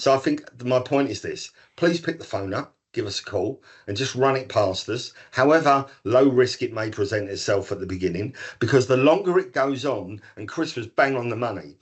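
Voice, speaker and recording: Lively intonation marks this man's somewhat breathy voice. He speaks at a moderate pace and a medium pitch. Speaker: anti-social behaviour practitioner. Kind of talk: podcast panel discussion. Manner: animated.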